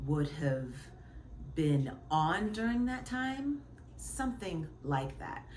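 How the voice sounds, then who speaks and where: There is audible room echo around this woman. She speaks at a very slow pace. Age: 40s. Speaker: vlogger. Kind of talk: casual vlog talk. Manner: halting.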